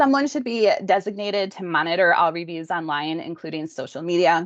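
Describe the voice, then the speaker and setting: A fairly quick delivery over a quiet background. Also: woman. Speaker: healthcare practice consultant. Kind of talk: webinar presentation. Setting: online webinar. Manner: fast.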